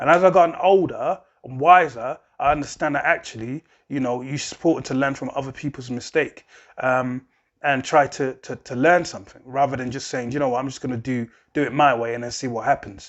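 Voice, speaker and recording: Talking at a fairly quick pace, a man with a fairly high pitch shows big swings in loudness and ordinary pitch variation. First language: not English. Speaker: music artist and channel host. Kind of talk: casual advice monologue. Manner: casual, filler-heavy.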